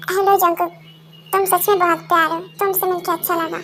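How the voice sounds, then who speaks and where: A put-on character voice is performed here. Music plays in the background. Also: woman, extremely high pitch for a woman, moderate pace. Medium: audio drama.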